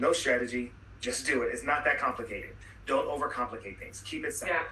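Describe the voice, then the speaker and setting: A man talks at a fairly quick pace in a room with audible echo and noticeable background noise. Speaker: webinar speaker on soft skills. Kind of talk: webinar talk. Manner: fast; casual.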